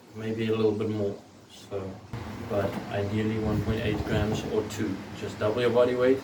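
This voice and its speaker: Over noticeable background noise and audible room echo, a man of medium pitch speaks at a moderate pace in a monotone, flat delivery. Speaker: personal trainer and bodybuilder. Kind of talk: tutorial. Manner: casual.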